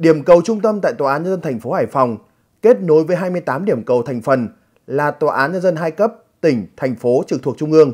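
Using an ordinary speaking voice, a man talks at a moderate pace with a fairly high pitch and lively intonation. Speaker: news presenter. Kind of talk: news reading. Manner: formal.

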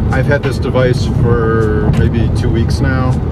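There is loud background noise behind a man speaking with ordinary pitch variation. The sound is dry, with no echo. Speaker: vlogger. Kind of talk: casual vlog chat. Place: car. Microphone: phone near.

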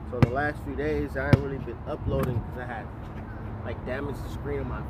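A man speaks at a moderate pace with a dry sound and no echo. Loud background noise runs behind him. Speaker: trucker vlogger. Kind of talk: casual vlog chat. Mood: pleased, upbeat. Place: street. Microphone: phone near.

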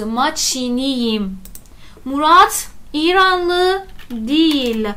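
A woman with a high pitch and lively intonation. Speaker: Turkish language teacher. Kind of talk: lecture. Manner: informal, explanatory. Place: home room.

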